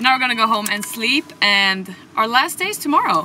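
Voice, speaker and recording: At a moderate pace, a woman speaks over light background noise in a dry sound with no echo. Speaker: vlogger. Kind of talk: casual vlog chat. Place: car. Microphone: phone near.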